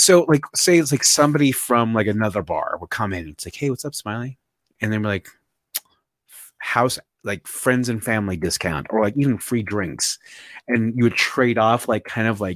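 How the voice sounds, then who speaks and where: This man has an unremarkable speaking voice at a medium pitch, with lively intonation, a moderate pace and big swings in loudness, heard in a dry, close sound with no echo. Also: very clean recording, silent background. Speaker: podcast co-host. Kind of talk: casual chat. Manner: rambling, casual.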